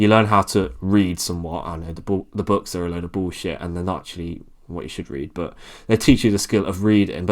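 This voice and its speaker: A man with an English accent, fairly low-pitched and fairly quick, on a very clean recording with a silent background. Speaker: YouTuber and coach. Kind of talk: casual talk to camera. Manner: monotone.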